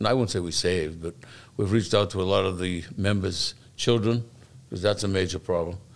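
In a Boston accent, a man talks at a fairly quick pace. His pitch is fairly low, with fairly even intonation. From Boston, Massachusetts (South Boston). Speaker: fire lieutenant and recovery advocate. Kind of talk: interview.

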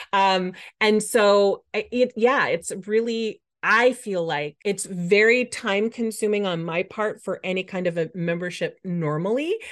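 In a quiet background, a woman talks at medium pitch. She has a normal speaking voice with ordinary pitch variation. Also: fairly slow pace. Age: 50s. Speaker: Pinterest marketing coach. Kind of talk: interview conversation.

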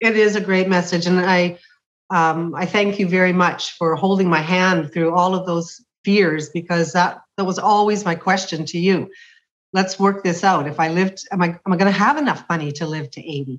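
Against a quiet background, a woman speaks in a plain, everyday voice at a medium pitch and a moderate pace with fairly even intonation. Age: 60s. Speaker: retired teacher. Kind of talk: casual chat.

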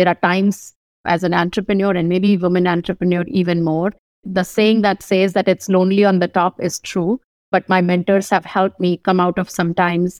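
On a very clean recording with a silent background, a woman speaks in a monotone, flat intonation at very even loudness, the sound dry and close with no echo. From India, northern (Kanpur, Delhi). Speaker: physician and tech company CEO. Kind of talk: interview.

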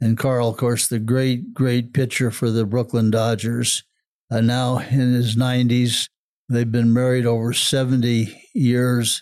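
On a very clean recording with a silent background, a man with an American accent speaks at medium pitch and a fairly slow pace, his intonation monotone and flat and his loudness very even. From US Midwest. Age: 80s. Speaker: retired servant leader and sports executive. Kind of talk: casual interview conversation.

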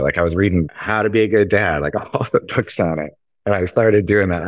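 A man's very deep, low voice with an American accent, very fast, on a very clean recording with a silent background. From Chicago, US Midwest. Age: 30s. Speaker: insurance agency co-founder. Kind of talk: interview conversation.

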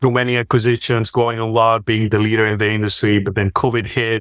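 A man with a Spanish accent speaks at a fairly quick pace in a medium pitch, his intonation monotone and flat. The very clean recording is dry and close, with no echo and a silent background. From Spain. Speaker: health tech executive. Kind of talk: interview. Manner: talkative.

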